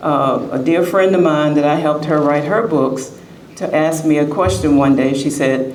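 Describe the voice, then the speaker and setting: A woman speaks at a very deep, low pitch with ordinary pitch variation and very even loudness. Audible room echo and noticeable background noise fill the recording. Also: moderate pace. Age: 70s. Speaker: author. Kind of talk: short speech at book expo.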